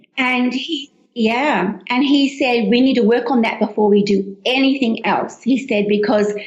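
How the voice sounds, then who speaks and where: Noticeable background noise sits behind a woman with an Australian accent. Her pitch is fairly high, with ordinary pitch variation. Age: 60s. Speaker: cookbook author. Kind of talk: interview.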